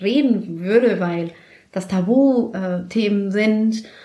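A woman with a Spanish accent speaks in a dark, mellow tone with ordinary pitch variation, and audible room echo surrounds her voice. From Mexico City, Mexico. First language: Spanish (speaking German). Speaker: office worker, immigrant. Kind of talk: casual interview.

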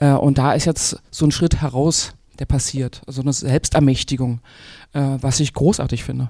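A woman speaks at a moderate pace in a very deep, low voice with a dark, mellow tone. Her intonation is monotone and flat, and the recording is very clean with a silent background. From Brandenburg, eastern Germany. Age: 40s. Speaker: author and singer. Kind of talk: panel discussion. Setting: stage with audience.

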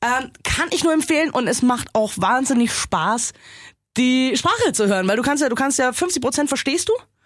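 A woman's high-pitched voice, lively in intonation, at a moderate pace with very even loudness. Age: 30s. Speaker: film podcast co-host. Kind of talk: casual chat.

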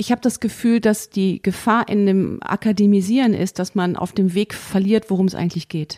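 A woman speaks at a moderate pace and medium pitch with fairly even intonation, a dark, mellow tone, and hardly any pauses. The very clean recording has a silent background and a dry, close sound with no echo. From Germany, Bonn. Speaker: jazz pianist and composer. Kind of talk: interview.

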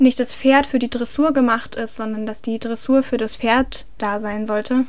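A woman with a fairly high voice speaks at a very slow pace, keeping her intonation fairly even. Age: 20s. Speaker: horse trainer and equine physiotherapist. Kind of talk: interview. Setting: home recording with partner.

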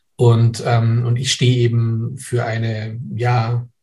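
Its tone is dark and mellow, and the voice comes across somewhat breathy. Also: man. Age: 60s. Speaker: professor and physician. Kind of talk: interview. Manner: hesitant, many fillers.

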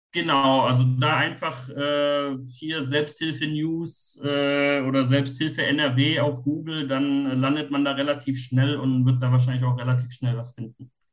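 Fairly slow, monotone speech with flat intonation and hardly any pauses. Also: man, fairly high pitch for a man. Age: 40s. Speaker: self-help group leader with OCD. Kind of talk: casual interview. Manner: halting.

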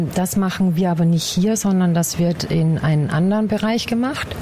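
Audible room echo and noticeable background noise surround a woman at a medium pitch. She talks at a moderate pace with fairly even intonation. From Upper Austria, Bad Ischl. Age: 40s. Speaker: anatomical preparator, former nurse. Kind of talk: interview. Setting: workshop hall. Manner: hesitant, many filler sounds.

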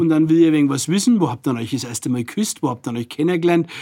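A man speaks with a strong Franconian accent. His pitch sits fairly high, and his intonation is lively. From Franconia, Nuremberg. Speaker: deputy mayor, politician. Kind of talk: casual interview chat in dialect.

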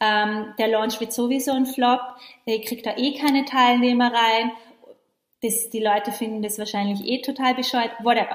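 A woman with a high pitch and an animated tone. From western Austria, Vorarlberg. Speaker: podcast host, online business coach. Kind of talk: recorded live training, motivational talk.

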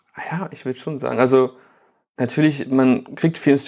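With an unremarkable speaking voice, a man speaks at a medium pitch and a fairly quick pace, his intonation fairly even. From Germany, Bielefeld. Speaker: photographer and filmmaker. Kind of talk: casual interview.

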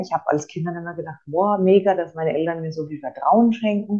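A woman speaks at a very fast pace. Her pitch is fairly low, with ordinary pitch variation. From Franconia, Germany. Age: 30s. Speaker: course participant, single mother. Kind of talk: interview testimony. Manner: hesitant, many filler sounds.

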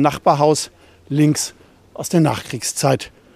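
This is a man speaking. His pace is moderate. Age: 60s. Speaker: newspaper journalist and local history author. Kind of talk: audio walking tour narration.

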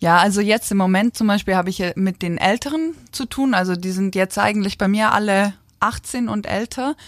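An ordinary speaking voice talks at a moderate pace. The recording is very clean and dry, close, with a silent background and no echo. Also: woman. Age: 20s. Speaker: national rhythmic gymnastics coach. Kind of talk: casual interview.

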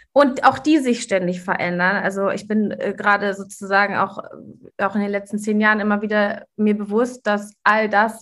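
At a moderate pace, a woman of medium pitch speaks in a plain, everyday voice with fairly even intonation. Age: 40s. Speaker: coach and podcast host. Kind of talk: casual interview chat.

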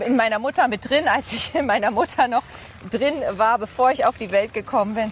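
There is noticeable background noise as a woman talks at a moderate pace. Her pitch is fairly high, with ordinary pitch variation. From East Frisia, northern Germany. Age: 30s. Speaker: TV presenter and reporter. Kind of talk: casual interview. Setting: outdoors, walking in a city park.

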